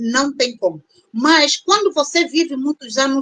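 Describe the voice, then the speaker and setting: A woman with an Angolan accent speaks at a fairly slow pace in a high pitch, her intonation lively. The sound is dry and close, with no echo. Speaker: doctor and panel guest on immigration grief. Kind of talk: live-stream panel discussion. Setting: online live stream.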